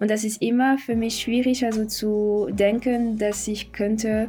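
In a French accent, a woman of medium pitch speaks fairly slowly with monotone, flat intonation. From France, Paris. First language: French (speaking German). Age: 20s. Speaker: podcast guest. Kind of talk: interview. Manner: halting.

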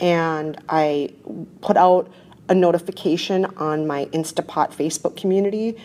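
A woman with a Minnesota accent speaks at a fairly low pitch. Her tone is dark and mellow. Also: fairly even intonation, moderate pace. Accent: Minnesotan American English. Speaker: podcast host. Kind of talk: casual chat.

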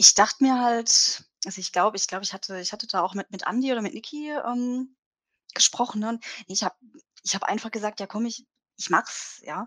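Her fairly high voice moves at a fairly quick pace with ordinary pitch variation and big swings in loudness as this woman speaks. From Baden, southwest Germany. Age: 30s. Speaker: web designer and community member. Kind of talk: interview. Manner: hesitant, many fillers and restarts; frequent laughter.

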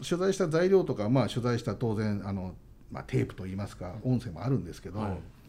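Noticeable background noise is present throughout. A man speaks fairly quickly over it. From Saitama, Japan. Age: 40s. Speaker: entertainment news editor. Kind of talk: radio interview. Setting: radio studio.

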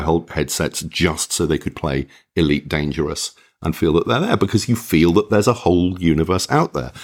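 In a very clean recording with a silent background, a man with a low voice talks with ordinary pitch variation and few pauses.

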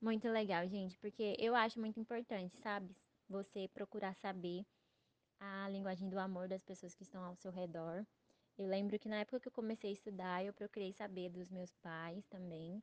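A woman speaks in a normal speaking voice at a medium pitch and a moderate pace, her intonation fairly even, with a dry, close sound with no echo. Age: 20s. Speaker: podcast host. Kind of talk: casual chat.

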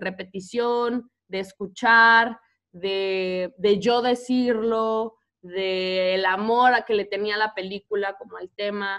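Speaking with a Mexican accent, a woman has a fairly high voice. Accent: Mexican Spanish, noticeable. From Mexico. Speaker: teacher. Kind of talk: casual interview. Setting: video call.

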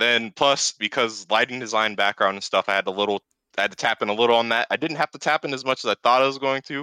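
The recording is very clean, with a silent background and a dry, close sound free of echo. A man talks at a very fast pace in a bright, sharp tone at medium pitch, his pitch varying in an ordinary way. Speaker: tournament bracket runner. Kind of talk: casual chat. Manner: low-energy.

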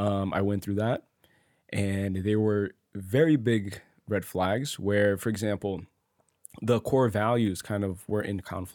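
An ordinary speaking voice with an American accent, delivered at a fairly slow pace. The intonation stays fairly even. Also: man, fairly low pitch for a man. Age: 20s. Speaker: podcast host. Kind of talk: casual chat.

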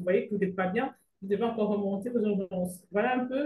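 The voice is somewhat breathy, with a dark, mellow tone. It moves at a very fast pace with ordinary pitch variation. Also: woman. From Cameroon. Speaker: physician. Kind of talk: interview.

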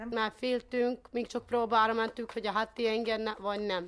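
This woman talks at a medium speed, her voice fairly high. Her delivery is monotone and flat. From Transcarpathia, Ukraine. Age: 20s. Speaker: war refugee. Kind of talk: interview.

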